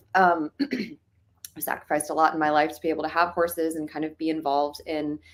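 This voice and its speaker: A woman's very deep, low voice in a Midwestern US accent, flat and monotone throughout. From rural Ohio. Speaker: filmmaker. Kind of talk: casual interview.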